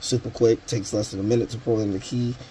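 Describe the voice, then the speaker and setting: Light background noise sits behind a man speaking in a fairly low pitch with monotone, flat intonation. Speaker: tool reviewer. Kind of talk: tutorial. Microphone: phone near.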